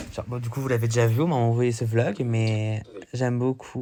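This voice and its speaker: Over noticeable background noise, a man of medium pitch speaks at a moderate pace with fairly even intonation. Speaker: vlogger. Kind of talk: casual vlog. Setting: outdoors. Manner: hesitant; loud.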